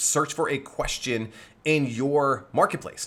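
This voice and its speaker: A man's fairly high-pitched voice has a bright, sharp, energetic tone. His pitch varies in an ordinary way. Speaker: video marketing coach. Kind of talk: live online workshop. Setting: livestream. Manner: fast.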